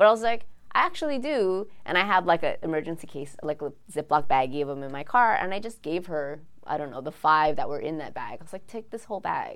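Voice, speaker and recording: A fairly low-pitched woman's voice in a Hawaiian accent, very fast, with very wide pitch swings and big swings in loudness. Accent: Hawaii local English. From Hawaii, windward Oahu (Kaneohe). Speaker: card game creator. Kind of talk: interview. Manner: casual, many fillers.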